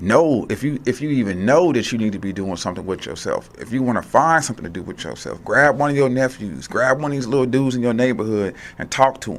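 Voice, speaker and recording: Lively in intonation, a man at a medium pitch speaks at a fairly quick pace. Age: 40s. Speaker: radio host. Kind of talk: motivational talk.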